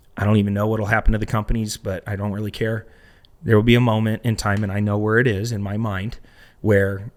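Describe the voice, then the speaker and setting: A man's fairly low voice with an American accent at a very fast pace, big swings in loudness, in a very clean recording with a silent background. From Arizona, US. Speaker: real estate entrepreneur. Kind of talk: podcast interview. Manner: animated.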